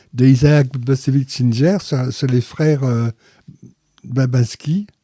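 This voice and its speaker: A man talks at a very slow pace in a medium-pitched, somewhat breathy voice. The tone is dark and mellow, with ordinary pitch variation. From Paris, France. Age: 80s+. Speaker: interviewee, father of a Holocaust survivor family. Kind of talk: interview testimony.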